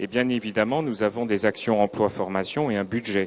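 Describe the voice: The speech moves at a fairly quick pace with fairly even intonation. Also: man, fairly low pitch for a man.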